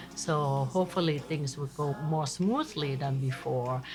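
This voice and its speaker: Over music in the background, a woman talks at a fairly slow pace in a very deep, low pitch. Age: 60s. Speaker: cooking channel host. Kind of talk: casual monologue to camera. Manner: animated.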